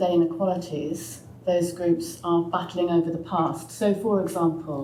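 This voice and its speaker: A woman's fairly low voice at a moderate pace, with ordinary pitch variation and audible room echo. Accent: southern English. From England (Oxford). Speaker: sociologist and author. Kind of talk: panel discussion.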